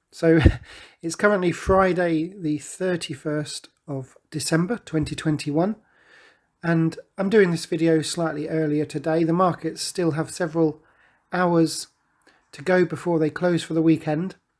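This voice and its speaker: A British-accented man speaks in a high voice with monotone, flat intonation. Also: fairly slow pace, very clean recording, silent background. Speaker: forex trading commentator. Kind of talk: market analysis tutorial.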